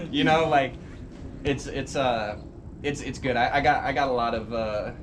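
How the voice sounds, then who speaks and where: Noticeable background noise and audible room echo around speech at a moderate pace, intonation fairly even. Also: man, medium pitch for a man. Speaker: podcast host. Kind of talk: casual chat.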